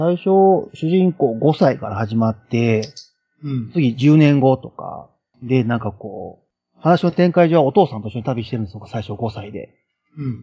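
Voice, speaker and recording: A man with a medium-pitched, somewhat breathy voice speaks with lively intonation and big swings in loudness. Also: moderate pace. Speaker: film enthusiast guest. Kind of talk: casual chat.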